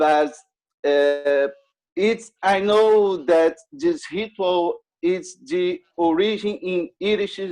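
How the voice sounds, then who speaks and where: A man with a non-native accent talks at a very slow pace, his pitch high and his intonation lively. Music plays in the background. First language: not English. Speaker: audience questioner. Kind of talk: question to speaker. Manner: halting.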